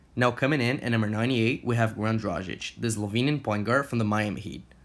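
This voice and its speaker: A man with a Portuguese accent and ordinary pitch variation. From Brazil. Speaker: sports YouTuber. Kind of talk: scripted narration.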